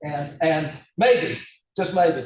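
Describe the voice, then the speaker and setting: There is audible room echo around this man's fairly high-pitched voice. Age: 70s. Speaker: hand surgeon lecturer. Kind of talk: casual discussion after lecture. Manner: hesitant, many fillers.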